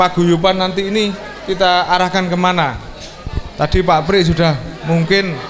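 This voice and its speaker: A man's fairly slow, fairly even-toned speech, with audible room echo and crowd noise behind him. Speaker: school reunion speaker.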